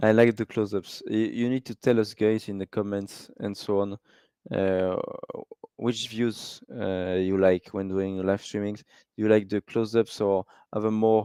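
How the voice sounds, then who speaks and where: A man with a French accent speaks at a moderate pace in a fairly low, dark, mellow voice with monotone, flat intonation. The sound is dry and close with no echo, over a quiet background. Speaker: live race commentator. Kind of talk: live commentary. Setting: live stream. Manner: halting.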